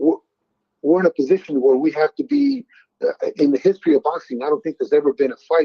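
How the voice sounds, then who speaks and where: A man speaks at a very fast pace. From Mexico. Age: 60s. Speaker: boxing trainer. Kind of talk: interview. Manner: hesitant, many fillers.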